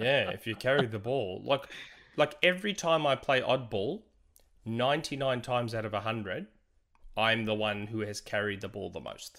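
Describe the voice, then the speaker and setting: On a very clean recording with a silent background, a man with a plain, everyday voice talks at a moderate pace, with a medium pitch and ordinary pitch variation. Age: 40s. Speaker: video game podcast co-host. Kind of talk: casual chat.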